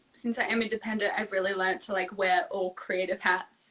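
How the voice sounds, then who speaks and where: Over noticeable background noise, a woman speaks with an Australian accent. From Australia, Melbourne and Sydney. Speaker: singer-songwriter and dancer. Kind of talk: casual interview chat. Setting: live video stream.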